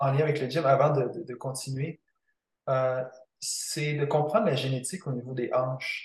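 A somewhat breathy man, fairly high in pitch, at a moderate pace with fairly even intonation. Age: 20s. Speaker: kinesiologist. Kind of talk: interview.

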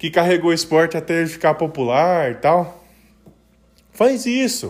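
A man talks in a high-pitched voice. His pace is fairly slow. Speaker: podcast host. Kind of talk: casual solo monologue. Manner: hesitant, many fillers.

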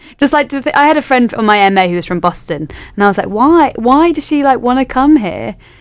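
Fairly quick and in a London accent, a woman's high voice makes very wide pitch swings. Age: 20s. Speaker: history PhD student. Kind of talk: casual chat.

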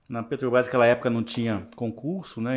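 An unremarkable speaking voice from a medium-pitched man at a moderate pace, on a very clean recording with a silent background. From interior of Rio de Janeiro state, Brazil. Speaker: project management professional and university lecturer. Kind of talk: casual interview chat. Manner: relaxed, conversational, with frequent fillers.

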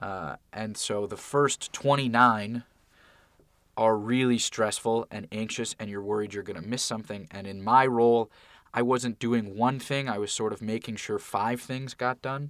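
Heard in a very clean recording with a silent background and a dry, close sound with no echo, the speech goes at a moderate pace with fairly even intonation and big swings in loudness. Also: man, medium pitch for a man. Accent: Californian. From Santa Monica, Los Angeles, California. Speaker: college student, aspiring TV writer and producer. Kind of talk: podcast interview. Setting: sound booth studio.

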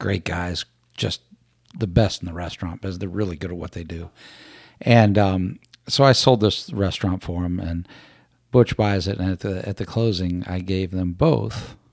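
Big swings in loudness mark a man's very deep, low voice with an American accent and ordinary pitch variation. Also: moderate pace. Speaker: podcast host. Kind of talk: casual chat. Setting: studio.

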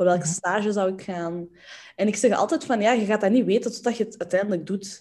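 Against a quiet background, a woman with a dark, mellow tone speaks at a fairly quick pace, with medium pitch and ordinary pitch variation. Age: 20s. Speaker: entrepreneur in inclusive communication. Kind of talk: casual chat. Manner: energetic, enthusiastic.

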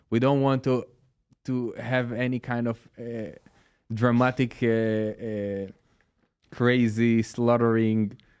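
With a strong Israeli accent, a man speaks in a monotone, flat way at a very slow pace, leaving long, frequent pauses. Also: medium pitch for a man. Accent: Israeli-accented English, fairly strong. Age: 40s. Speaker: guest. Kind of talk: casual interview conversation.

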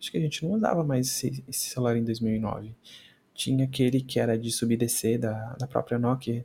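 Somewhat breathy, a man with a dark, mellow tone speaks at medium pitch and a moderate pace, his intonation fairly even. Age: 20s. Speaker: podcast host. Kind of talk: casual solo commentary. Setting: home recording, video podcast. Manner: halting, frequent repetitions.

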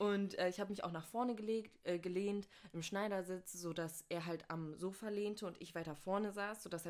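A woman talks at a medium pitch and a moderate pace. She has an unremarkable speaking voice. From North Rhine-Westphalia, Germany. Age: 20s. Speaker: university student. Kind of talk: casual chat.

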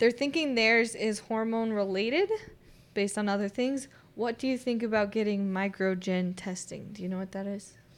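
Here is a woman with a normal speaking voice and a fairly high pitch. She keeps a moderate pace with ordinary pitch variation. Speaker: co-host. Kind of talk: casual health talk show. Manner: cheerful, laughs often.

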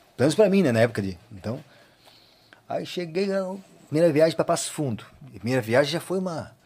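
A man talks at a very fast pace but takes long, frequent pauses. His fairly high pitch makes very wide swings. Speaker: accordion player and teacher. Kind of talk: casual interview, storytelling.

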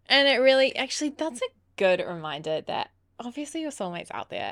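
A woman talks at a fairly quick pace in an Australian accent. Her pitch swings very widely. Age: 20s. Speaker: podcast co-host. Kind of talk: casual chat.

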